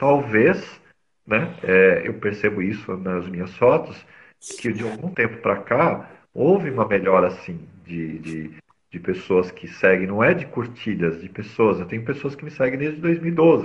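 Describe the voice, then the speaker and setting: Somewhat breathy and fairly slow, a man speaks at a medium pitch with very wide pitch swings. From São Paulo city, Brazil. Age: 40s. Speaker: mobile photographer. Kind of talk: casual interview. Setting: live video stream.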